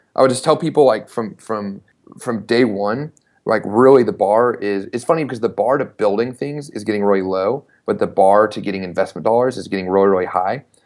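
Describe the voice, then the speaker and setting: A man's normal speaking voice, fairly low in pitch, with an American accent, ordinary pitch variation and a fairly quick pace. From US South, Knoxville, Tennessee. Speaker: startup founder and CEO. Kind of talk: interview.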